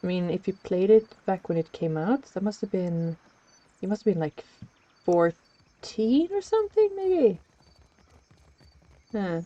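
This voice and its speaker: A woman with a slight non-native accent speaks at a fairly slow pace with long, frequent pauses and ordinary pitch variation, recorded dry and close with no echo. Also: medium pitch for a woman. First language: not English. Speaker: streamer. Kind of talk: gameplay stream, reading game text aloud.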